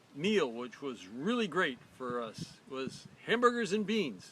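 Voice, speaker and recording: A raised, projected voice at a very slow pace with very wide pitch swings. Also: man. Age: 70s. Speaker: host's father sharing diet story. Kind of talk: personal storytelling. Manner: repeats words, halting.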